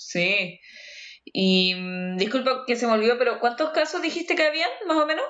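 A woman with a Chilean accent speaks at a moderate pace and a high pitch. Her pitch swings very widely while her loudness stays very even. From Chile, Los Andes. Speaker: podcast host. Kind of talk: casual chat.

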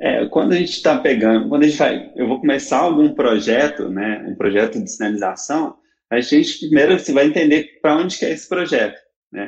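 Speaking fairly quickly with a Minas Gerais accent, a man uses a fairly high pitch and very wide pitch swings. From Belo Horizonte, Minas Gerais, Brazil. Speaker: road signage designer and architect. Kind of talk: interview.

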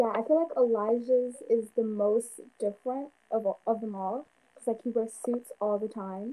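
A woman speaks at a moderate pace in an ordinary speaking voice. Her pitch is fairly high, with fairly even intonation. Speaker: podcast host. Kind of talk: casual chat.

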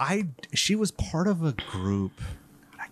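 A man's voice swings very widely in pitch. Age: 50s. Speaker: horror podcast host, guest. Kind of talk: casual chat.

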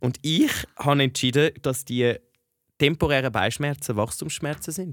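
This man's voice sits at a fairly high pitch and moves with ordinary pitch variation. He talks at a fairly slow pace. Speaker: podcast co-host, university student. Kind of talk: casual chat. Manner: animated.

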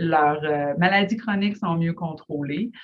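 A somewhat breathy woman speaks at a fairly slow pace with ordinary pitch variation. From Quebec, Lac-Saint-Jean. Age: 30s. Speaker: family physician. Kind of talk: interview.

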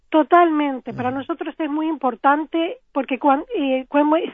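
At a moderate pace, a woman talks in a high pitch. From Uruguay (Florida, then Montevideo). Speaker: scientist, research project manager. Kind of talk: interview.

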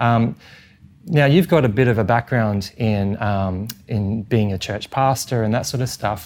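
This man speaks with an Australian accent at a fairly slow pace, using medium pitch and ordinary pitch variation. The recording is very clean, with a silent background. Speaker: podcast host. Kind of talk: interview.

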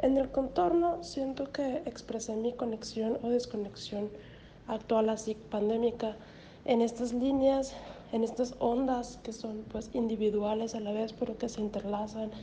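This woman's voice sits at a fairly high pitch. She speaks at a fairly slow pace with fairly even intonation. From Mexico, Hermosillo, Sonora. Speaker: graduate student describing her artwork. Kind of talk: personal reflection on an artwork. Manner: halting, many fillers and repetitions.

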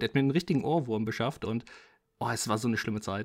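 A man talks at a very fast pace with ordinary pitch variation. The recording is very clean and the background silent. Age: 20s. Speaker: film podcast co-host. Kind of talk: casual chat. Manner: animated.

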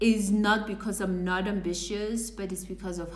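Room echo is audible around this woman's voice. Background noise is noticeable as well. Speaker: career coach. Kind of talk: live stream talk. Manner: halting.

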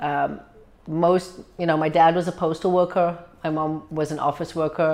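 Speaking with a South African accent, a woman has a fairly low pitch. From South Africa, Cape Town. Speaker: medical doctor. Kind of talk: interview. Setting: downtown location.

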